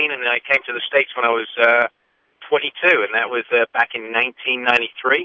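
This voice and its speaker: A man with an English accent, medium pitch, moderate pace and fairly even intonation. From England. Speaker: horse racing analyst and former trainer. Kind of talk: radio interview.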